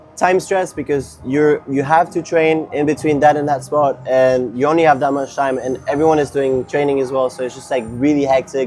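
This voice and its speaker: Music plays in the background as a man with a French accent and a fairly high pitch speaks. He keeps a moderate pace with hardly any pauses and fairly even intonation. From France, Paris. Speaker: competitive skateboarder. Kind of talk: casual interview.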